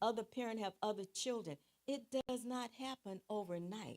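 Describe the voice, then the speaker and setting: A woman with a plain, everyday voice speaks at a moderate pace and medium pitch, the sound dry and close with no echo. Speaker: licensed marriage and family therapist and church first lady. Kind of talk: lecture.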